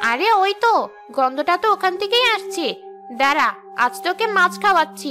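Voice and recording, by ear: A woman uses a cartoonish character voice, extremely high-pitched with a bright, sharp tone, cackling and sing-song at a fairly quick pace. Her intonation is lively, with faint music in the background.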